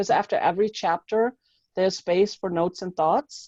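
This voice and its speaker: A woman speaks at a moderate pace in a dark, mellow tone, the sound dry and close with no echo. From Germany. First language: German. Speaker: mindset coach and author. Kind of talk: interview.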